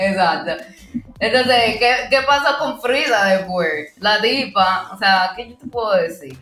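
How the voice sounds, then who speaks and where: Over noticeable background noise and audible room echo, a woman speaks at a very slow pace with a fairly high pitch and lively intonation. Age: young. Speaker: podcast co-host. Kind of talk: casual chat.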